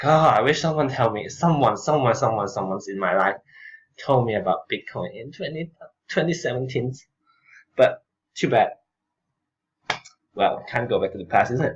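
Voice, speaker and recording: A man mumbles at a moderate pace with a medium pitch and a somewhat breathy sound. His intonation is lively, broken up by long, frequent pauses. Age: middle-aged. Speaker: crypto commentator. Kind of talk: slide presentation. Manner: hesitant, many fillers; mumbling.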